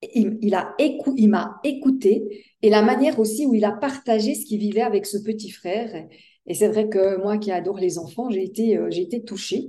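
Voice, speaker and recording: Somewhat breathy and dark, mellow in tone, this woman's voice shows ordinary pitch variation. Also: fairly high pitch for a woman, moderate pace. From Switzerland. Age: 60s. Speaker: life coach. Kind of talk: interview.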